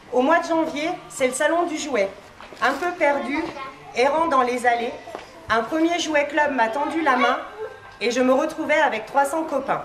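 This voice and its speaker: Speaking at a fairly slow pace with long, frequent pauses, a woman with a high pitch and ordinary pitch variation is heard amid noticeable background noise and audible room echo. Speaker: toy shop owner. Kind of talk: speech reading a prepared text. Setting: shop inauguration before audience, no microphone. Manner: loud, projecting without microphone.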